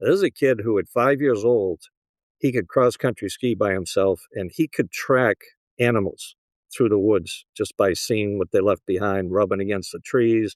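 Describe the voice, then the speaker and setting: In a Boston accent, a man speaks at a fairly low pitch with ordinary pitch variation, the sound dry and close with no echo over a quiet background. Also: moderate pace. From US Northeast, Boston area. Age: 70s. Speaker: real estate broker and appraiser. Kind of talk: interview conversation.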